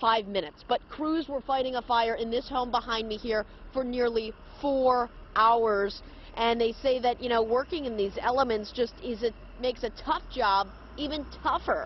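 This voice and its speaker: Here a woman speaks in a high pitch. The sound is dry with no echo, over light background noise. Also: ordinary pitch variation, moderate pace. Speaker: TV news reporter. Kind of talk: live news report. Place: street. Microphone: handheld.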